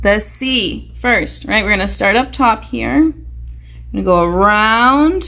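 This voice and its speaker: A woman speaks with audible room echo. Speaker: preschool teacher. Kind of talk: online lesson for young children.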